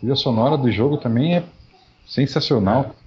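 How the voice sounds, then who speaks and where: Speaking at a moderate pace with lively intonation, this voice comes over noticeable background noise. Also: man. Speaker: podcast co-host. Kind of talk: casual chat.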